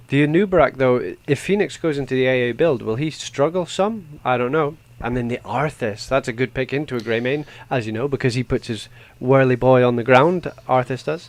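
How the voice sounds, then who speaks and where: This man speaks in a Scottish accent at a fairly quick pace. His pitch varies an ordinary amount. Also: medium pitch for a man. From Scotland. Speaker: esports caster. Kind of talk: live commentary. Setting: live stream.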